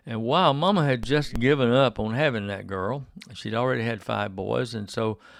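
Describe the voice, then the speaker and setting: Recorded very cleanly against a silent background, a man with an Alabama accent talks at a fairly slow pace in a medium pitch with lively intonation. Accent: Southern US (Alabama). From US South. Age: 70s. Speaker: radio host. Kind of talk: casual interview. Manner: halting, many fillers.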